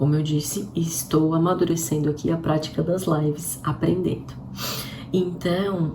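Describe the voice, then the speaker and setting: With audible room echo and noticeable background noise, a woman speaks at a fairly slow pace in a very deep, low pitch, her pitch varying in an ordinary way. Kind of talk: livestream devotional talk. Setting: live stream.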